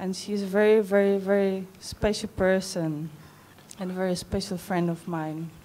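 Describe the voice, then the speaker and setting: This woman speaks with a Czech accent at a moderate pace, her medium pitch held in a monotone, flat line. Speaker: wedding guest, friend of the bride. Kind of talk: wedding speech. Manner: halting.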